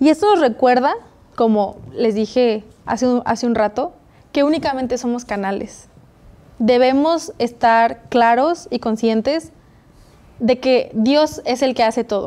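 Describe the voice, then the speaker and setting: This woman's high-pitched voice has a dark, mellow tone, ordinary pitch variation and a fairly slow pace broken by long, frequent pauses. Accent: Mexican. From Mexico. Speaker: Bible study host. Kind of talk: Bible study discussion. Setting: studio. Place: studio. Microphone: lapel.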